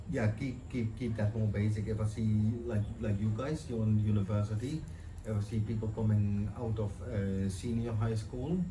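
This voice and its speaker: With audible room echo, a man speaks at a moderate pace in a fairly low pitch, keeping his loudness very even and his intonation fairly even. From Netherlands. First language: Dutch. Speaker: chef and farmer interviewed by students. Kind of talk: interview. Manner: halting.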